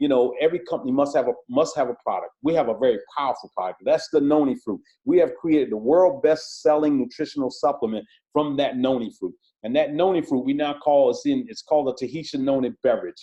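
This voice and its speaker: A man with a Southern US accent talks at a very fast pace in an animated, excited tone. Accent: country, Southern US. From South Carolina. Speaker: police officer promoting a direct sales business. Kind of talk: sales pitch.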